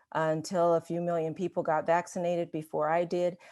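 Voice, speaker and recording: A woman talks with a fairly low pitch. Her pace is moderate and the background is quiet. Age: 60s. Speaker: pastor. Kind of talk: testimony. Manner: hesitant, many fillers.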